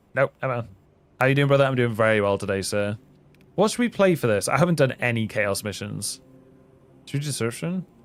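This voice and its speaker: Over background music, a man talks at a fairly quick pace and medium pitch, leaving long, frequent pauses. His tone is animated and his intonation lively. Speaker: gaming streamer. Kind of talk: live stream gaming chat; video outro. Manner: casual, animated.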